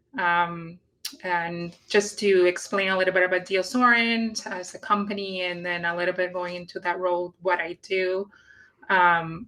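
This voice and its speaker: A woman with a Puerto Rican accent talks at a moderate pace with fairly even intonation. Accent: Puerto Rican Spanish accent, rolled R's. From Puerto Rico. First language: Spanish. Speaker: industry scientist, guest. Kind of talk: live career interview. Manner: hesitant, many fillers.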